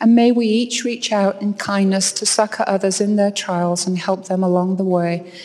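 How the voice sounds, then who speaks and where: A woman's flat, monotone delivery at a moderate pace with hardly any pauses, over noticeable background noise. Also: medium pitch for a woman. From England, York. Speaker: university professor. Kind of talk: devotional speech. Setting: stage with audience.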